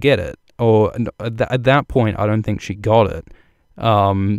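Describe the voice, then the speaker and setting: A man speaks at medium pitch. His pitch variation is ordinary. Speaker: video essayist on a TV series, hosting a livestream. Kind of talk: livestream commentary and analysis. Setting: livestream. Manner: fast; halting, many fillers and repetitions.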